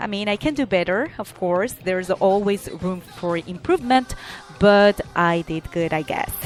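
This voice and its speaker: A woman speaks in a Spanish accent at medium pitch and moderate pace, with ordinary pitch variation and music in the background. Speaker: talk show host. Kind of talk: podcast monologue with announcements. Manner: halting.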